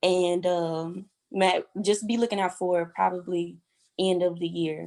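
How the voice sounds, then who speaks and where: Fairly low woman's voice in a Louisiana accent, fairly slow and monotone, with flat intonation. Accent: Southern US (Louisiana). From Louisiana, US South. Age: 20s. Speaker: aspiring model. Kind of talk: podcast interview. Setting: podcast. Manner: casual, many fillers.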